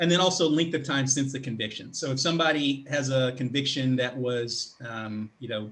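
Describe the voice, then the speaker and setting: A man with a medium-pitched, somewhat breathy voice talks at a fairly quick pace. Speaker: public speaker and career coach. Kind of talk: online presentation. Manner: fast.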